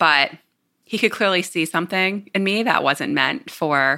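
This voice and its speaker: Lively intonation marks this voice, which speaks with a Northeastern US accent. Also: woman. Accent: American, Northeast. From New Jersey. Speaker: startup CEO. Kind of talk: interview.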